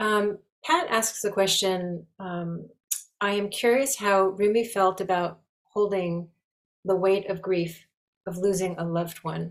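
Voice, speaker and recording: A woman with an ordinary speaking voice speaks at a fairly slow pace and a medium pitch. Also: fairly even intonation. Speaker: call host. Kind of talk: hosting introduction. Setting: video call webinar.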